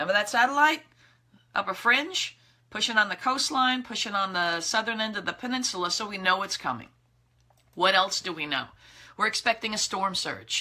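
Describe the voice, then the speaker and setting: A woman with an American accent talks at a fairly quick pace in a fairly high pitch, her intonation lively, with long, frequent pauses. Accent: thick New York accent when tired. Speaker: meteorologist. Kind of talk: weather briefing. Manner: casual, conversational.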